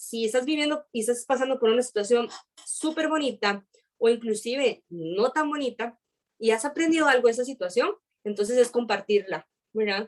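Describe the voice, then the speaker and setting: Lively intonation from a woman with a high voice. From Costa Rica. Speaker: aerospace engineering student. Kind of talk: interview. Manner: fast.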